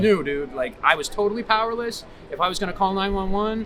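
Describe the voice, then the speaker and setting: Music plays in the background. A man speaks with a Boston accent. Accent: Boston-area New England. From Massachusetts. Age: 40s. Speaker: homeless man. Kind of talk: street interview answer. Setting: outdoors. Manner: enthusiastic, passionate.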